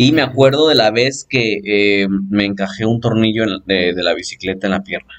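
A man with a Mexican accent, fairly low pitch, ordinary pitch variation, moderate pace and hardly any pauses. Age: 20s. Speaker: podcast host. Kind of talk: casual chat. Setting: home-made studio.

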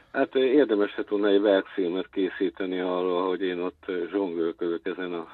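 This man has a very deep, low voice, speaking at a moderate pace with fairly even intonation. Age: 60s. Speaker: intermedia artist. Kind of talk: interview. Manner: halting.

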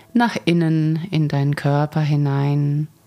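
A woman speaks at a very slow pace in a very deep, low voice. Her tone is soothing and gentle, as well as dark and mellow. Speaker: Reiki master and teacher, podcast host. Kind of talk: guided meditation, calm spoken guidance. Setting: studio recording, podcast. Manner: slow, soft-spoken, soothing, gentle pace; warm, calm, dreamy, with pauses.

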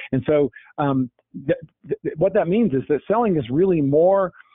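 A man speaks at a moderate pace with lively intonation in a normal speaking voice. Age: 50s. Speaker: sales author, healthcare sales professional. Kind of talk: podcast interview. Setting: phone call.

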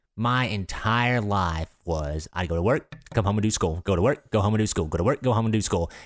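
Lively intonation marks this man's fairly low voice at a moderate pace. The recording is very clean with a silent background. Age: 20s. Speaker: podcast co-host. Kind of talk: casual chat. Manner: halting.

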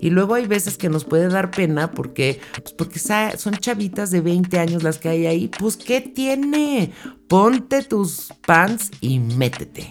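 A woman's medium-pitched voice with a Mexican accent and a warm tone, very slow yet with hardly any pauses, very wide pitch swings, and music in the background. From Mexico. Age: 60s. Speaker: podcast host, self-help speaker. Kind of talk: motivational solo podcast. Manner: warm, conversational.

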